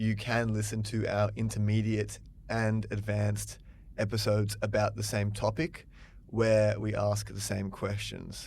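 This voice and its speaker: This man talks fairly slowly in an Australian accent. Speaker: English teacher. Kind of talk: podcast-style conversation for English learners. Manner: slow, clear.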